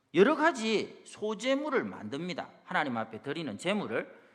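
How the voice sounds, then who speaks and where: The man's pitch is high and swings very widely. He keeps to a fairly slow pace. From South Korea, Busan. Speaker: pastor. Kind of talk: sermon.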